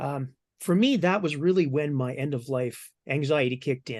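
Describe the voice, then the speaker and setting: Over a quiet background, a man with a fairly high pitch talks at a moderate pace in a normal speaking voice. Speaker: cancer patient sharing psychedelic therapy experience. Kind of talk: personal testimony in panel discussion.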